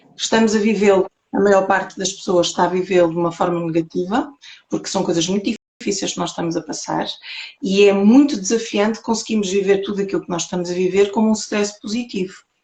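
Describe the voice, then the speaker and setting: Delivered at a very fast pace in a European Portuguese accent, the speech shows ordinary pitch variation. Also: woman, medium pitch for a woman. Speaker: holistic therapist. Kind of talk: interview talk on spirituality.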